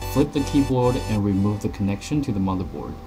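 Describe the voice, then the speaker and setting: The speech moves at a fairly quick pace while music plays in the background. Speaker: tech tutorial narrator. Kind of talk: tutorial.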